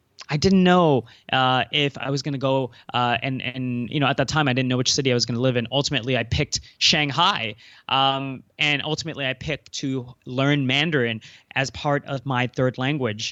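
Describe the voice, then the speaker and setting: In a Cantonese accent, a man of medium pitch talks at a fairly quick pace with fairly even intonation. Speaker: entrepreneur and speaker. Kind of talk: podcast interview. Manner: hesitant, many fillers.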